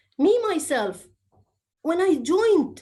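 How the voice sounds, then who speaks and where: A woman's dark, mellow voice in an Egyptian accent, with very wide pitch swings at a fairly slow pace. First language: Arabic. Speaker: public speaking trainer. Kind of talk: training session talk.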